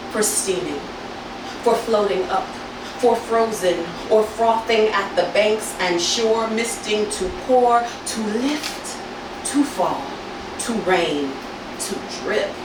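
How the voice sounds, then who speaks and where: A woman speaks at a very slow pace with a fairly high pitch and ordinary pitch variation, leaving long, frequent pauses amid audible room echo and noticeable background noise. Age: 40s. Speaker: spoken word poet. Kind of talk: poetry reading. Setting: stage with audience. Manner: rhythmic.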